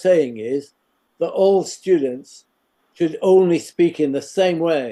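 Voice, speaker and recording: A man talks with a fairly high pitch and ordinary pitch variation. His tone is dark and mellow. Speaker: education professor. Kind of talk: interview. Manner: hesitant, many fillers.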